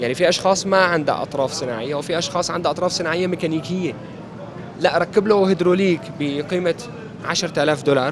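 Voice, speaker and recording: A high-pitched man speaks with an Aleppo accent at a fairly quick pace. His pitch variation is ordinary, and noticeable background noise is present. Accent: Aleppo Syrian Arabic. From Syria, Aleppo (eastern districts). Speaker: amputee interviewee, former radio presenter. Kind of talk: interview. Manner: halting, with frequent repetitions.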